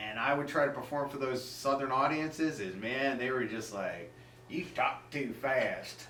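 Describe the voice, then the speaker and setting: Music plays in the background as a man with an American accent talks at a moderate pace, with audible room echo. His pitch is fairly high and varies in an ordinary way. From Massachusetts, US Northeast. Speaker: stand-up comedian. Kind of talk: casual interview chat.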